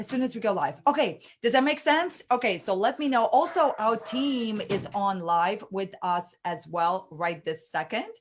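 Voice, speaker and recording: An animated voice with a non-native accent, its pitch swinging very widely. It moves at a moderate pace with hardly any pauses. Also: woman, fairly high pitch for a woman. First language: not English. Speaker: online business coach. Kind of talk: live webinar training. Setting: livestream.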